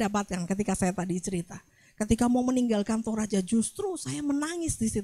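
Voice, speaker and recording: Her pitch swings very widely as a woman speaks in a Javanese accent. The sound is dry and close with no echo. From Central Java, Magelang. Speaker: pastor. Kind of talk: sermon.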